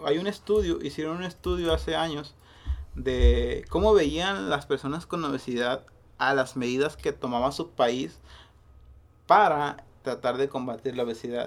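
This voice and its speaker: A man with a plain, everyday voice, fairly high in pitch, speaks at a fairly slow pace with lively intonation in a very clean recording with a silent background. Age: 30s. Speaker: podcast host. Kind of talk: casual chat.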